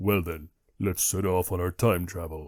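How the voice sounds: A man puts on a character voice with a very deep, low pitch and fairly even intonation. He keeps a moderate pace, and the sound is dry and close with no echo.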